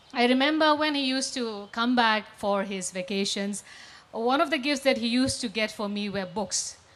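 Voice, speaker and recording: A woman speaks in a Nagaland accent. Her pitch varies in an ordinary way. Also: fairly high pitch for a woman, moderate pace. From Nagaland, northeast India. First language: Lotha Naga. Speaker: English professor and author. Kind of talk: panel discussion.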